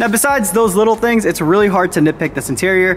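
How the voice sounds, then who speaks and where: Man at a very fast pace, with noticeable background noise. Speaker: car reviewer. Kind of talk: casual vlog review.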